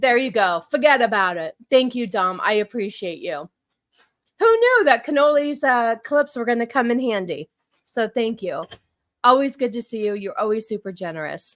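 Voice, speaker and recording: An animated woman with an American accent speaks at a fairly high pitch and a moderate pace, her intonation lively. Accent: New York-like accent sometimes. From Huntington Beach, California. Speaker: live streamer. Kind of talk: casual live-stream chat. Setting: live stream.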